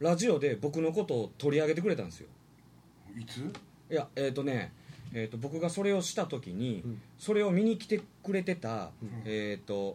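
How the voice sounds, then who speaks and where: With a dark, mellow tone and a somewhat breathy quality, a man speaks at a medium pitch and a moderate pace, his pitch swinging very widely. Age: 30s. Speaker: performer with a distinctive voice. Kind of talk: casual chat. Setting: live internet stream.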